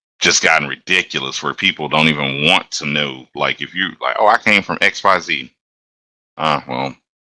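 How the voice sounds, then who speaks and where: Speaking with an American accent, a man uses a very deep, low pitch with vocal fry and a bright, sharp tone. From US South, Atlanta, Georgia. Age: 30s. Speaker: locomotive engineer. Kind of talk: casual chat.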